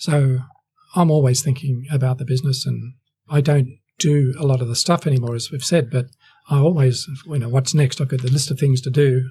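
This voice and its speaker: Somewhat breathy and dark, mellow in tone, the voice moves at a fairly quick pace in an Australian accent with fairly even intonation. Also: man, medium pitch for a man. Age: 60s. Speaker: real estate agency owner. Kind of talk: interview.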